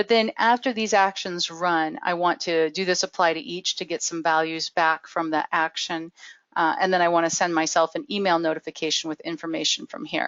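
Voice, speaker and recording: Barely pausing, a woman talks at a fairly quick pace in a fairly low voice with ordinary pitch variation. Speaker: webinar presenter. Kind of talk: tutorial. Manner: speeds up when excited; hesitant fillers and repetitions.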